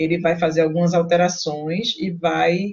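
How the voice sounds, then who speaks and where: Fairly low in pitch, a woman speaks in a somewhat breathy voice. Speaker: university lecturer. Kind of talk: online lecture.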